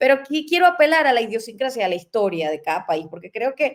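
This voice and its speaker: A woman at a very fast pace, with lively intonation. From Venezuela. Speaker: talk show host. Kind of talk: interview on current affairs. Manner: halting, with many fillers.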